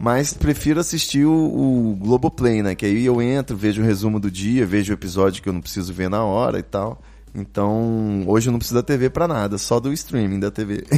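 At a moderate pace and with hardly any pauses, a man speaks in a fairly low, dark, mellow voice with ordinary pitch variation. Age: 30s. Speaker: podcast host. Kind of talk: casual chat. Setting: live stream studio.

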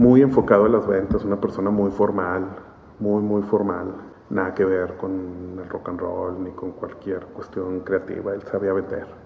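Against noticeable background noise, a man speaks at a fairly slow pace with a fairly low pitch and monotone, flat intonation. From Monterrey, northern Mexico. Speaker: graphic artist. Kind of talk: casual interview chat. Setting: at his home.

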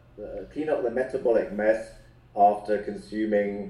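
Speaking fairly slowly, a man is heard with noticeable echo from the room. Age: 40s. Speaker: health coach. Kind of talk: interview.

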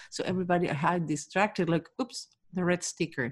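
A woman's fairly low-pitched, normal speaking voice at a moderate pace. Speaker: behavior expert. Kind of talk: interview.

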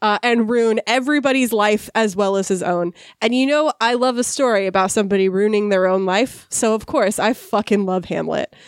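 On a very clean recording with a silent background, a woman talks in a fairly high pitch with ordinary pitch variation. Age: 30s. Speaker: podcast co-host. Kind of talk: casual chat; podcast outro announcements. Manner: fast.

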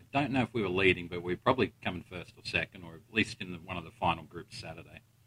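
A very deep male voice with a bright, sharp tone and an Australian accent, recorded dry and close with no echo. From Australia, Melbourne. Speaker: golf podcast host and coach. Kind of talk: casual interview. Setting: in person at a tournament venue.

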